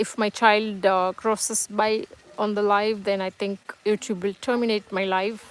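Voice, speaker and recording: Recorded with a dry, close sound with no echo, a woman speaks at a moderate pace and a medium pitch in a monotone, flat intonation. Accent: Tamil. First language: Tamil. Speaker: live streamer. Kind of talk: casual live stream chat. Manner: halting, many fillers.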